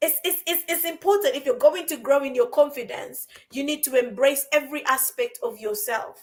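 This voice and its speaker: At a moderate pace, a woman's high-pitched, animated voice makes very wide pitch swings. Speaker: podcast co-host, life coach. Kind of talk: casual podcast conversation. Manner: animated, repetitive emphasis.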